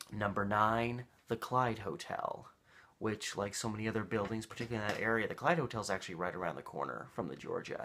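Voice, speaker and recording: Light background noise sits behind a man with a fairly low pitch. He talks at a very fast pace with ordinary pitch variation. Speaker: local history vlogger. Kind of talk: casual vlog chat. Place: home room. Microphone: webcam.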